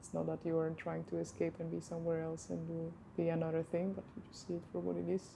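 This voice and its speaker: Talking at a very fast pace, a woman speaks with a non-native accent. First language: not English. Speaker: movement practitioner. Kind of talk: casual chat.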